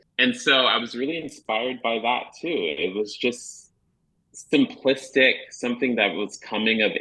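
At a moderate pace, a man with an American accent speaks in a plain, everyday voice with lively intonation. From Chicago area, later northern Virginia. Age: 30s. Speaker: school psychologist and children's author. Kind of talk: radio interview.

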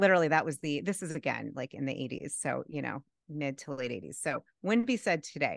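With an American accent, a woman speaks at a fairly quick pace in a very deep, low voice with vocal fry, lively intonation and an animated tone, the sound dry and close with no echo over a quiet background. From Boston area, Massachusetts. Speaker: life coach and professor. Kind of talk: interview conversation.

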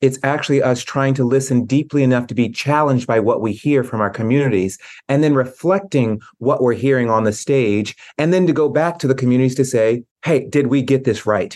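A man with an American accent, medium pitch, ordinary pitch variation and a fairly quick pace, a normal speaking voice. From US South, Tennessee. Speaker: arts executive. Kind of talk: interview.

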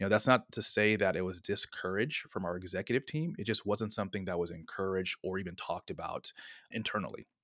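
A man with an American accent talks very fast at a fairly low pitch with ordinary pitch variation. The recording is very clean, with a silent background and a dry, close sound with no echo. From US West Coast, San Francisco Bay Area. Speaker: social impact community founder. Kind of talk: interview conversation.

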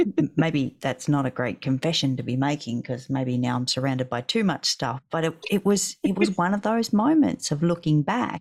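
A woman with an Australian accent, a very deep, low pitch and very wide pitch swings, hardly any pauses, in a dry, close sound with no echo. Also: moderate pace. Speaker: podcast co-host, business owner. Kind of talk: casual chat. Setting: video call. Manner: animated.

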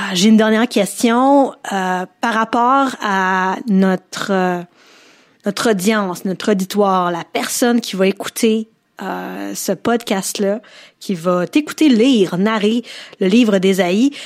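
A woman speaks very slowly in a Quebec accent, her pitch medium with ordinary variation. The recording is very clean, with a silent background. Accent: Québécois French. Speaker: podcast host. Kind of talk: interview.

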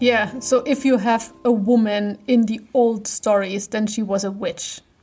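With a German accent, a woman speaks in a dark, mellow tone at a fairly high pitch, somewhat breathy, with fairly even intonation and a fairly slow pace. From eastern Germany. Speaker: podcast co-host. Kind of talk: casual chat.

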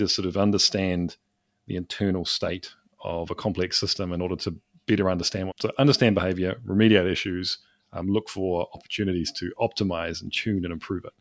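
In a New Zealand accent, a man speaks at a fairly quick pace with a fairly low pitch and ordinary pitch variation, the sound dry and close with no echo on a very clean recording with a silent background. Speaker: developer advocate. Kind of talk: casual chat.

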